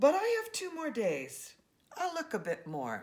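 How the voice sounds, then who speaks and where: A woman puts on a character voice, high in pitch, and delivers it at a moderate pace. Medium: read story.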